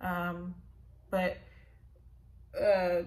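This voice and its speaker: The speaker is a woman. She talks with an American accent. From Los Angeles. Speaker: YouTuber sharing property buying experience. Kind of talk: casual vlog tutorial. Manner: casual, many fillers. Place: home room. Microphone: phone near.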